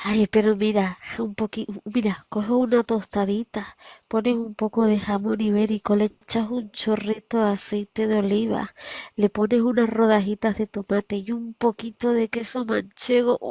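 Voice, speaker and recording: Dry and close with no echo, the voice has a dark, mellow tone and flat, monotone intonation at a moderate pace. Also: woman, fairly high pitch for a woman. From Spain.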